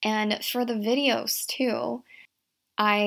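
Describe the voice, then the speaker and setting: An unremarkable speaking voice with an American accent and ordinary pitch variation. The recording is very clean, with a silent background. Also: woman. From Virginia, US (from Shanghai until 8). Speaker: podcast host and career coach. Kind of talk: solo podcast monologue.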